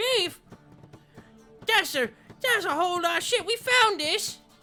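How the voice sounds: A put-on character voice with an extremely high pitch plays over faint music in the background. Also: fairly slow pace.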